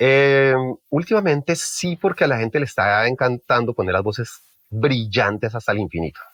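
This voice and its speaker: A man of medium pitch with lively intonation, a quiet background and a dry, close sound with no echo. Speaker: mixing engineer. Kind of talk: interview. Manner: fast; halting.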